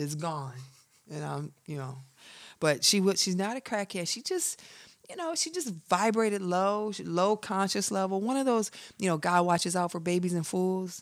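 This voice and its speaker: A woman with an American accent speaks in a normal speaking voice at a moderate pace, her fairly low pitch moving with ordinary variation, on a very clean recording with a silent background. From rural Michigan. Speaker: comedian and actress. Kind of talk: casual interview chat.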